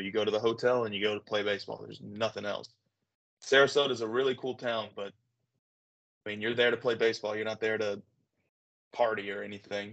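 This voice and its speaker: A man at medium pitch with a Southern US accent, monotone and flat in intonation, at a very fast pace. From Arkansas, Little Rock. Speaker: former minor league baseball player. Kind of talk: interview. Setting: video call.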